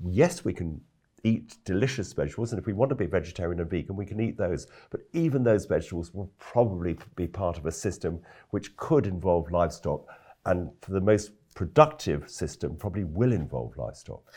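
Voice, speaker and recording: With a very deep, low pitch and a dark, mellow, somewhat breathy tone, a man talks at a fairly quick pace over a quiet background. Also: lively intonation. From London, England. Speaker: organic farmer and food campaigner. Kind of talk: interview.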